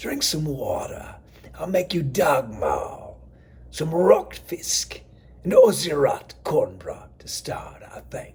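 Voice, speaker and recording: A man speaks very slowly in a put-on character voice. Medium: read story. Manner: motherly, coaxing, folksy.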